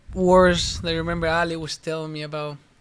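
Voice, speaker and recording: A man talks at a moderate pace with a high pitch and monotone, flat intonation. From Argentina. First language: Spanish. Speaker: professional soccer player. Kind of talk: casual interview chat. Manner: halting.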